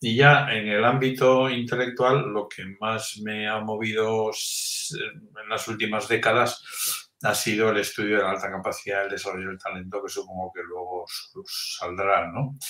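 There is noticeable background noise as a man speaks fairly slowly. His voice is fairly low, with fairly even intonation. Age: 60s. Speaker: emeritus professor of education research. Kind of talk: interview.

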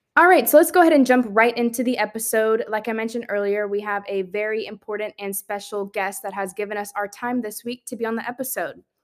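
Her voice fairly high, a woman rushes along at a very fast pace with hardly any pauses and big swings in loudness. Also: ordinary pitch variation. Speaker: podcast host. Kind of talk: casual podcast chat.

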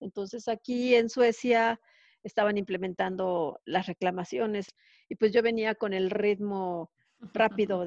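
A woman with a plain, everyday voice speaks at a fairly slow pace with ordinary pitch variation, the sound dry and close with no echo over a quiet background. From Mexico. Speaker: telecom engineer living abroad. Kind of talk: interview.

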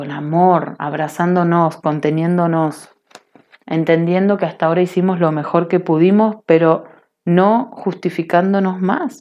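At a fairly slow pace, a woman talks in an ordinary speaking voice, pitched fairly low with fairly even intonation. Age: 30s. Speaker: online radio host, personal growth. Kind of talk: solo radio monologue, spiritual self-help. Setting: home online radio stream. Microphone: internet connection kept cutting out.

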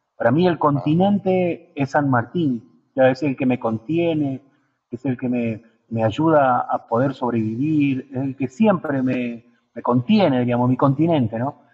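His voice sits at a medium pitch, and this man's pitch rises and falls in an ordinary way. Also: fairly slow pace. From Argentina, Río Negro (Allen). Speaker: puppeteer. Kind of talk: radio interview. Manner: halting, many repetitions.

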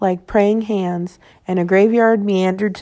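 The speaker is reading aloud in a natural voice. The intonation stays fairly even.

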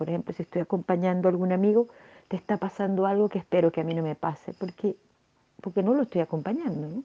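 A woman talks at a very fast pace. Her voice sits at a medium pitch. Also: ordinary pitch variation. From Venezuela. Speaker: podcast host. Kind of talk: personal reflection monologue. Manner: subdued, less cheerful than usual; halting, many fillers.

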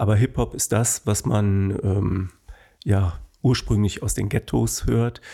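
A man's somewhat breathy, dark, mellow voice at a fairly low pitch and very slow pace, in a very clean recording with a silent background. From Germany, Bonn (Rhineland). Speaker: dance school owner. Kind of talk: interview.

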